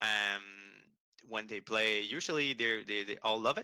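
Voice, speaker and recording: A man with a French accent speaks at a moderate pace, fairly low in pitch with a bright, sharp tone. The sound is dry and close with no echo, on a very clean recording with a silent background. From Quebec. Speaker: game studio communications manager. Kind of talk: interview. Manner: halting with repetitions.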